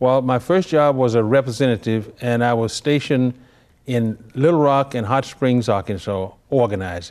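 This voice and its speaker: A man with a Memphis accent speaks at a medium pitch. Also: ordinary pitch variation, moderate pace. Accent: Southern US (Memphis). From Memphis, Tennessee. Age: 80s+. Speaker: retired labor leader. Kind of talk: interview. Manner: halting.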